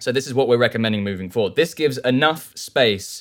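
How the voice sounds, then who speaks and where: With a southern English accent, a man speaks at a medium pitch and a very fast pace on a very clean recording with a silent background. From southern England. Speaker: audio engineer and plugin developer. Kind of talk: interview.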